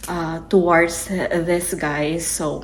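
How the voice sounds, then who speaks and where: A woman with a fairly low pitch and vocal fry speaks with audible room echo. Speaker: YouTuber. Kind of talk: casual explainer video. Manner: hesitant, many fillers.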